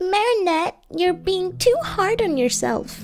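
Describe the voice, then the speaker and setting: Putting on a character voice, a woman speaks at an extremely high pitch and a fairly slow pace over faint background music. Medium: read story. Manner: soothing, kind.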